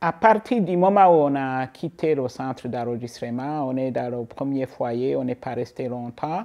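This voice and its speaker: A woman speaks very slowly in a very deep, low pitch with a dark, mellow tone and lively intonation. The background is quiet. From Burundi. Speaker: refugee. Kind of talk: testimony. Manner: halting.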